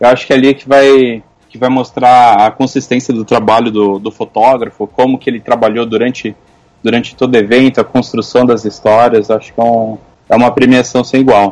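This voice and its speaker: A man speaks at a fairly quick pace. His medium-pitched voice has a monotone, flat intonation. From Brazil, Osasco (São Paulo). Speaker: photographer and commentator. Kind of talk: casual chat. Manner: halting, repeats words.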